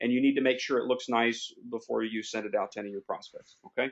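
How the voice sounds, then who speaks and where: A man with lively intonation. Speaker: online business trainer. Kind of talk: tutorial. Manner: fast.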